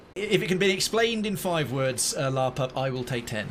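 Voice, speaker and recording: Over noticeable background noise, the man's intonation is lively as he talks at a moderate speed. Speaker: game streamer. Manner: enunciates clearly.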